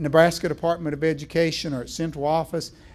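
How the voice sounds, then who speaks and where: A man with a fairly high-pitched voice speaks in a Southern US accent. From Virginia. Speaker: education speaker. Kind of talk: keynote presentation.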